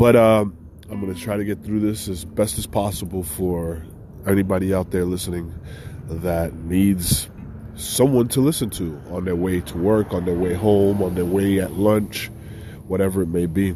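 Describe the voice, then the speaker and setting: Amid audible room echo, a man with a very deep, low pitch speaks with fairly even intonation. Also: moderate pace. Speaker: podcast host, veteran. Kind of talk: casual solo podcast talk. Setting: outdoors. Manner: halting, many fillers.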